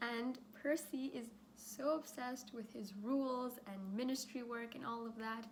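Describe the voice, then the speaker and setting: A woman's shaky, high-pitched voice keeps fairly even intonation at a moderate pace, with audible room echo. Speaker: youtuber. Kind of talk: casual chat. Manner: hesitant with fillers.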